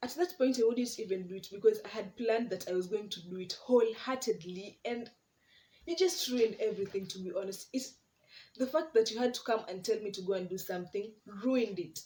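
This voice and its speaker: A woman with a dark, mellow tone speaks at a fairly quick pace in a fairly high, somewhat breathy voice. Her intonation is lively, and her loudness swings widely. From Kenya, coast region. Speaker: YouTuber. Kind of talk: casual vlog monologue. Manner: animated.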